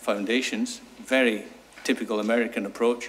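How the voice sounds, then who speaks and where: A man speaks with a Scottish accent. His pitch is medium and his pace moderate. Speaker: sustainable energy consultant. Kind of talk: conference talk. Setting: seminar with audience.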